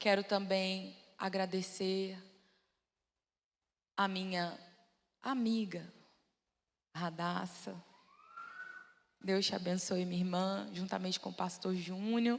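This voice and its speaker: Amid audible room echo, a woman at medium pitch speaks very slowly in a monotone, flat delivery broken by long, frequent pauses. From Brazil, Belo Horizonte. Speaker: preacher. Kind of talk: sermon. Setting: church with audience.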